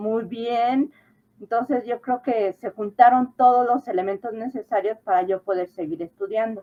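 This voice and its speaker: At a fairly slow pace, a woman speaks with fairly even intonation in an ordinary speaking voice pitched fairly high. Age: 60s. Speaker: adult high school graduate. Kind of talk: interview.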